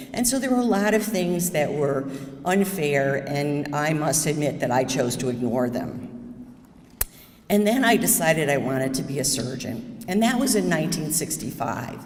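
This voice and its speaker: A woman with a New York State accent, very deep and low in pitch with very wide pitch swings, at a moderate pace, amid noticeable background noise and audible room echo. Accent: American (New York State). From upstate New York, US. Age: 70s. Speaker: surgeon. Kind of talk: talk to audience.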